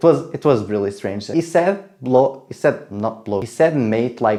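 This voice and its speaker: Lively intonation and a dark, mellow tone mark this man's speech in a non-native accent. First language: not English. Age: 20s. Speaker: travel vlogger. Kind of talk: casual travel vlog narration. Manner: hesitant, many fillers.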